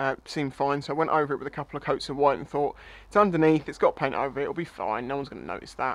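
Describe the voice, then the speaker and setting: A man's very fast speech, dry, with no echo. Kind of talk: casual vlog explanation. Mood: wry, self-deprecating. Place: garage.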